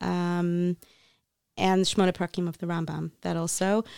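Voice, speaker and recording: In an American accent, a woman speaks at a moderate pace and fairly low pitch with monotone, flat intonation, recorded very cleanly against a silent background with a dry, close sound and no echo. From US, Florida. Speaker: patent agent and life coach, author. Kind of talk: interview about grief and faith. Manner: hesitant with frequent ums.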